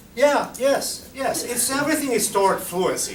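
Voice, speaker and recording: Noticeable background noise surrounds a man speaking at a fairly slow pace. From Argentina. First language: Spanish. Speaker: Spanish teacher. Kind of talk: conference presentation Q&A. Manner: halting.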